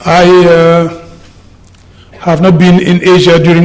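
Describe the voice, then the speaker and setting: A fairly high-pitched man takes a fairly slow pace while noticeable background noise goes on. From Senegal. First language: French. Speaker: politician. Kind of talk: conference speech.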